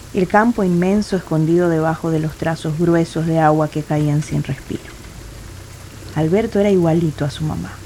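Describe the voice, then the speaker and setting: With noticeable background noise behind her, a woman speaks with fairly even intonation. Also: fairly low pitch for a woman, moderate pace. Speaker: audio drama narrator. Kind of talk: dramatic narration of a short story, reading literary prose. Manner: measured, atmospheric, somber.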